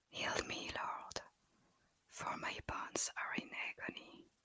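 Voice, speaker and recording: Very slowly, a woman whispers. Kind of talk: scripture reading. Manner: whispered, soft-spoken.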